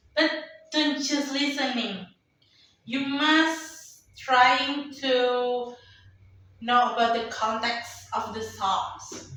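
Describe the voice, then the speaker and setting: A woman with an Indonesian accent speaks in a raised, projected, high voice at a very slow pace. Long, frequent pauses break her speech, and audible room echo surrounds it. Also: ordinary pitch variation. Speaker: company employee, podcast guest. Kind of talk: casual interview. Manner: halting, many fillers.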